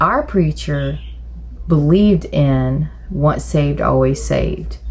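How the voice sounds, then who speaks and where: Noticeable background noise behind a speaking woman. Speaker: churchgoer telling her side of a viral incident. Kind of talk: interview testimony. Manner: halting, many fillers and restarts.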